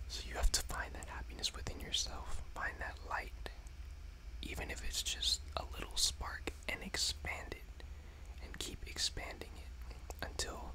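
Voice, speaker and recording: A man whispers at a fairly slow pace. Noticeable background noise runs behind him. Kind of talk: ASMR talk to camera. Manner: whispered.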